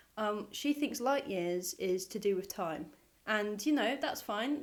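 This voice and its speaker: Mumbling at a fairly slow pace with lively intonation, on a very clean recording with a silent background. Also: woman. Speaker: book reviewer. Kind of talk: casual talk to camera.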